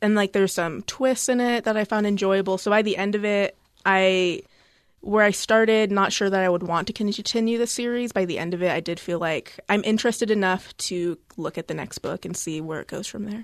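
A woman with an unremarkable speaking voice talks fairly quickly at a medium pitch, with fairly even intonation and a quiet background. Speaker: library staff discussing books. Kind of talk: book discussion chat. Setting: studio.

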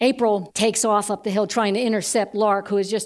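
Speaking at medium pitch, a woman talks at a fairly quick pace. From US Northeast. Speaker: storyteller. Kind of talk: personal story telling.

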